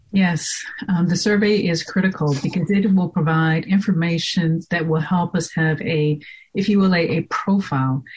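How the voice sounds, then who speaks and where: This woman has a fairly low, somewhat breathy voice and speaks at a moderate pace. Her intonation is fairly even and her loudness very even. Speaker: technology professional and board member. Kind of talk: casual interview.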